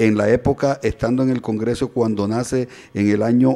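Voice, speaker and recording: Man's dark, mellow voice at a moderate pace with fairly even intonation. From Colombia, Córdoba (Caribbean coast). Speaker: radio co-host, professor; radio talk show commentator. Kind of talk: news and opinion radio show. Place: studio. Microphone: studio mic.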